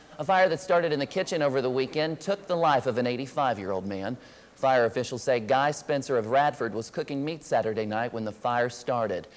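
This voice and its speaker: A man with a plain, everyday voice at a medium pitch talks at a fairly quick pace in an American accent, with lively intonation and hardly any pauses. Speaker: news anchor and reporter intern. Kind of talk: TV news anchor read.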